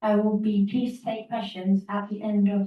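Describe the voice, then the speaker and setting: A woman's somewhat breathy, dark and mellow voice at a medium pitch, with an English accent and a fairly slow pace. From England. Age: 40s. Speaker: conference speaker with a rare syndrome. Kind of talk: prepared talk. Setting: stage with audience. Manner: halting, with repeated words.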